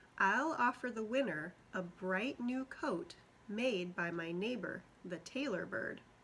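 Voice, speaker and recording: This woman uses a put-on character voice pitched fairly high. She talks at a fairly slow pace. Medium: read story.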